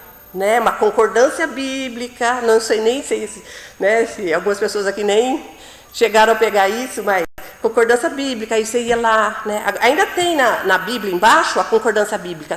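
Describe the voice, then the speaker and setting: Noticeable background noise is present throughout. A woman talks at a moderate pace. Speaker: preacher. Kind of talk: sermon.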